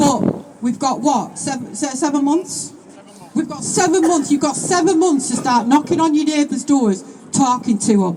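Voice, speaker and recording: Spoken at a moderate pace with a Manchester accent, the voice sits against noticeable background noise. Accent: northern English, Oldham. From northern England, Oldham. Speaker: political speaker at a protest rally. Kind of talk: rally speech. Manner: impassioned, repetitive pleading.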